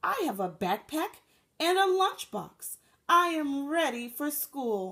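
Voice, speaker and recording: Here a woman does a put-on character voice, high in pitch. She goes at a fairly slow pace. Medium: read story.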